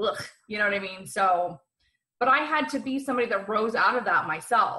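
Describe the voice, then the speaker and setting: A woman speaks in a bright, sharp, animated tone with lively intonation. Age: 40s. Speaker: empowerment coach and psychic. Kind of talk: podcast interview.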